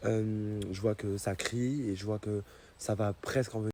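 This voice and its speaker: A man's fairly low voice, dark and mellow in tone, with fairly even intonation. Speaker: social media influencer. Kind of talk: direct-to-camera explanation to followers. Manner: hesitant, many fillers.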